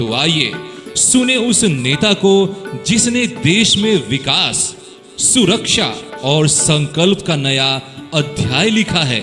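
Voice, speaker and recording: An energetic man speaks at a high pitch with very wide pitch swings. Music plays in the background. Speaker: radio jockey and voice-over artist. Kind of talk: political rally campaign announcement. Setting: studio. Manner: energetic, loud, promotional.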